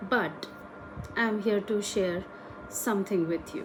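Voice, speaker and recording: Pitch movement is fairly level throughout. Background noise can be clearly heard. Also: woman. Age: 30s. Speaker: podcast host. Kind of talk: solo podcast monologue.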